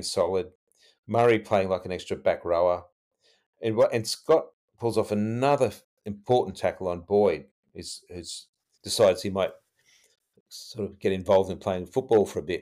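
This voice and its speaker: Speaking at a moderate pace in an Australian accent, a man pauses long and often while his loudness swings widely, on a very clean recording with a silent background. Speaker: podcast co-host and rugby league fan. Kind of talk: casual chat, retrospective game analysis.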